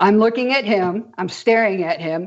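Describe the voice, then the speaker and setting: In a plain, everyday voice, a woman speaks at a moderate pace with medium pitch and ordinary pitch variation. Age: 60s. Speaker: spiritual experiencer sharing her awakening story. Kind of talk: interview conversation.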